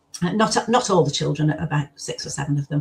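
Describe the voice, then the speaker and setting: This woman's voice is somewhat breathy. Her intonation is lively. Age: 70s. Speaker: former foster carer and author. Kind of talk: interview conversation.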